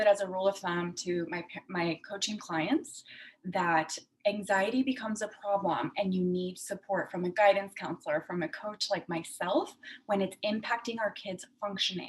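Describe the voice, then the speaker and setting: A somewhat breathy woman with a Spanish accent. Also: medium pitch for a woman, ordinary pitch variation, moderate pace. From Puerto Rico. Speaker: clinical psychologist. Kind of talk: talk to parents. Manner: conversational with fillers.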